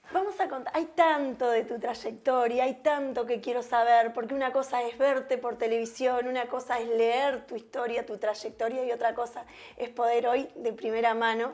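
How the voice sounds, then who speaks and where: A woman with a high pitch talks at a moderate pace with fairly even intonation and hardly any pauses. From Uruguay, interior. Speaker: TV interview host. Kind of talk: interview. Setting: guest's home. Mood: warm, smiling, friendly. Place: home room.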